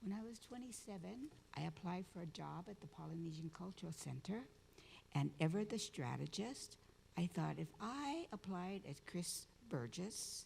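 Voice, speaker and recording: A woman's fairly low voice with vocal fry, at a moderate pace. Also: lively intonation. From Hawaii. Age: 70s. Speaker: community activist and storyteller. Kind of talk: conference talk.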